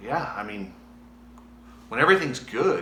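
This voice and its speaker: This is a man's voice. Room echo can be heard. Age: 40s. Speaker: former motocross racer. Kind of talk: personal video diary. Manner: halting.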